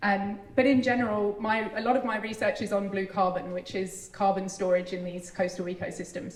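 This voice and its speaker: A woman's medium-pitched voice with a British accent, fairly quick and with hardly any pauses, fairly even in intonation, over noticeable background noise. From UK. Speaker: university ecologist. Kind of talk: public speech.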